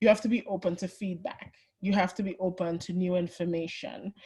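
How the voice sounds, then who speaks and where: Somewhat breathy and medium in pitch, a woman talks at a fairly quick pace with a Trinidadian accent. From Trinidad and Tobago. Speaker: HR and people analytics executive. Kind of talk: webinar presentation. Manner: conversational.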